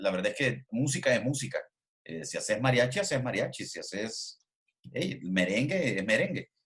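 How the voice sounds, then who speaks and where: This man speaks in a Salvadoran accent at a moderate pace. His pitch swings very widely. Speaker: podcast host. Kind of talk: casual interview.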